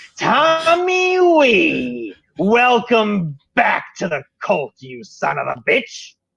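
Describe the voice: A put-on, cackling character voice, fairly high-pitched, very slow with hardly any pauses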